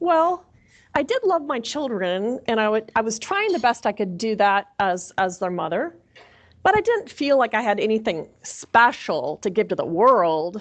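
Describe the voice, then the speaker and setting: This woman has a fairly high voice. Her pitch swings very widely. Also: moderate pace. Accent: Minnesota. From Minnesota. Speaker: chaplain. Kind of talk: sermon.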